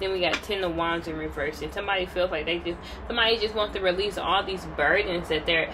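Very fast speech with fairly even intonation plays over noticeable background noise. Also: woman, fairly low pitch for a woman. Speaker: tarot reader. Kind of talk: tarot reading commentary. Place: home room. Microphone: phone near.

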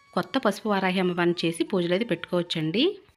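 A woman speaks at a medium pitch. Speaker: devotional YouTuber. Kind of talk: tutorial. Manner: subdued, not fast or energetic.

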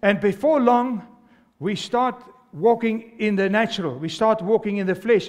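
With an animated tone and ordinary pitch variation, a man speaks at a high pitch against a quiet background. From South Africa. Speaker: pastor. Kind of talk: sermon to a live congregation. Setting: church with congregation. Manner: animated, exhorting, call-and-response; fervent, repetitive, urgent preaching cadence. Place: church. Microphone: headset.

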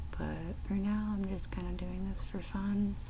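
A woman speaks over noticeable background noise. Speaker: tapping video maker. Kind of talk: casual ASMR talk to camera, tapping video. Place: home room. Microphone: webcam.

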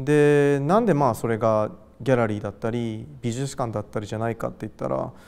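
At a fairly quick pace, a man talks at medium pitch with ordinary pitch variation. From Japan, Gifu (Hida-Takayama), later Tokyo; Japan. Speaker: artist. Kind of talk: interview. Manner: casual, hesitant with fillers. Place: hall. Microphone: lapel.

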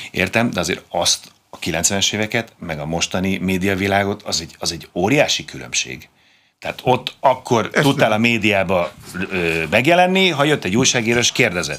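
A man with a bright, sharp tone speaks with big swings in loudness. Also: fairly low pitch for a man, moderate pace. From Hungary, Budapest; Hungary. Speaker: former competitive swimmer; guest. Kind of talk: interview. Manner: halting, many fillers. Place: studio.

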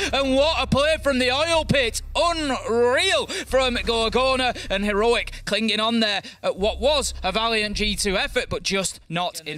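Projecting his raised voice, a man sounds animated with a bright, sharp tone. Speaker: esports commentator. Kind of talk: live esports commentary, play-by-play. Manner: animated, fast-paced, excitable play-by-play.

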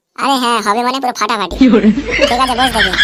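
A man performs a cartoonish character voice at an extremely high pitch, very fast, in a raised, projected voice.

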